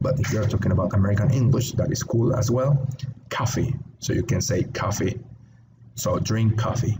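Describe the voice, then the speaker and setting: Noticeable background noise surrounds this recording. A man speaks with fairly even intonation. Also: medium pitch for a man, very even loudness. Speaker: English teacher. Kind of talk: online English lesson. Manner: slow, clear teaching pace.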